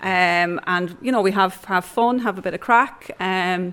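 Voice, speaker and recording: The speaker has a southeast Irish accent and fairly even intonation. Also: woman. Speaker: adult education coordinator. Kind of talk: interview.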